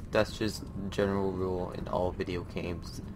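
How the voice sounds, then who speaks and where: A man's fairly low voice is heard against noticeable background noise. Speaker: gaming YouTuber. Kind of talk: casual gameplay commentary. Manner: animated, screams and laughs often.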